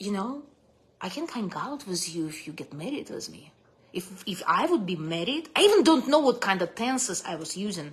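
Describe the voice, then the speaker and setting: A woman with a Russian accent speaks at a moderate pace in an animated, somewhat breathy tone, her medium pitch moving in very wide swings. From Russia (Soviet Union). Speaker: vlogger sharing life story. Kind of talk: casual livestream storytelling. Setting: live stream from home.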